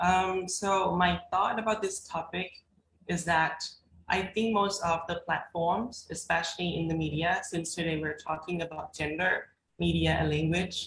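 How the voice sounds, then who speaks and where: A woman with a Thai accent speaks at a fairly slow pace, her fairly low voice holding a fairly even intonation. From Thailand. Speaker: graduate student panelist. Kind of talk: panel discussion. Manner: halting.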